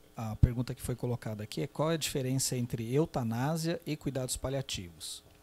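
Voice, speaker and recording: This man talks at a fairly quick pace, with hardly any pauses and ordinary pitch variation. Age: 40s. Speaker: geriatrician and palliative care doctor; panelist. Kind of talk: panel discussion talk. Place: hall. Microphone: handheld.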